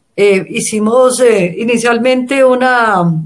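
A woman's voice with ordinary pitch variation, music playing in the background. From Colombia. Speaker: feminist organization director. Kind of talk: interview.

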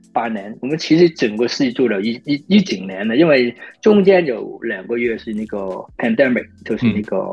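Music plays in the background as the speaker talks at a fairly quick pace with very wide pitch swings. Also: man. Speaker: film action choreographer. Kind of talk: interview. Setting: remote call.

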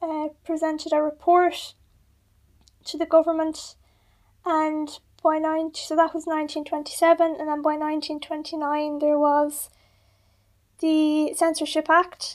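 With an Irish accent, a woman talks at a very slow pace in an extremely high pitch. Her intonation is monotone and flat, broken by long, frequent pauses. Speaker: radio host. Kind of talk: casual chat.

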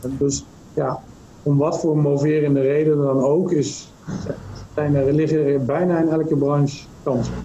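A man talks fairly slowly at a fairly high pitch, flat and monotone, his loudness very even. Noticeable background noise and audible room echo surround him. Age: 40s. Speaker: M&A advisor. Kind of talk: interview.

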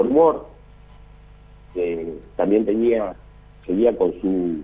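The man's intonation is lively, though his pace is very slow. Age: 40s. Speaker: musician, drummer. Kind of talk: casual interview, remembrance.

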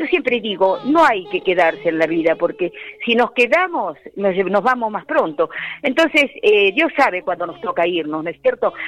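With noticeable background noise behind her, a woman speaks at medium pitch and a moderate pace, her voice making very wide pitch swings. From Buenos Aires province, Argentina. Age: 80s+. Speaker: tango singer. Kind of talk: radio interview. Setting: phone call.

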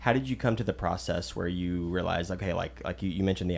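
A man's very deep, low voice with vocal fry, very wide pitch swings and a very fast pace. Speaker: podcast host. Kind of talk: casual group conversation. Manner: halting, many fillers.

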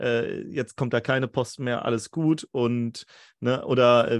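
Over a quiet background, a man at a medium pitch speaks in monotone, flat intonation, the sound dry and close with no echo. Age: 30s. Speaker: podcast host. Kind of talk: casual interview. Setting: remote call.

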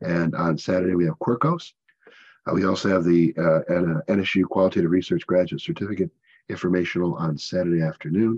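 A man speaks at a very deep, low pitch. The sound is dry and close with no echo, over a quiet background. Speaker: conference host and journal editor. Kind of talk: panel moderation. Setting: video call.

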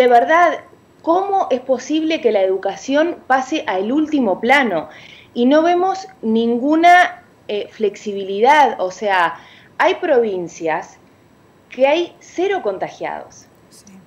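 The delivery is very slow, with very wide pitch swings and big swings in loudness. Noticeable background noise runs underneath. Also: woman, high pitch for a woman. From Uruguay. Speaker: parent activist. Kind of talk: radio interview. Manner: animated.

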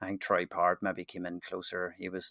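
A man's fairly low, bright, sharp voice with a Northern Irish accent at a fairly quick pace, in a dry, close sound with no echo and a quiet background. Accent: Northern Irish, sounds very similar to host. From Northern Ireland. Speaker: football trading investor. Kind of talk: casual chat.

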